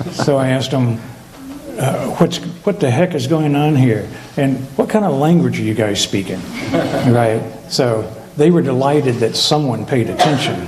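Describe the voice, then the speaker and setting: Moderate pacing from a male speaker of medium pitch, with noticeable background noise and audible echo from the room. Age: 70s. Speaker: retreat participant. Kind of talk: testimony.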